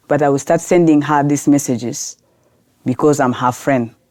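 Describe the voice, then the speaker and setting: A woman's very deep, low voice with a Sudanese accent, dark and mellow in tone, monotone and flat in intonation, at a moderate pace. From South Sudan, grew up in Khartoum, Sudan. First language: Arabic. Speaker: lawyer and women's rights activist. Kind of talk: podcast interview. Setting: podcast recording.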